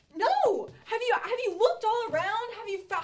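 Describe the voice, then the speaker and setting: A put-on character voice, squeaky and extremely high in pitch, speaks at a moderate pace. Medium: stage play. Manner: urgent, insistent.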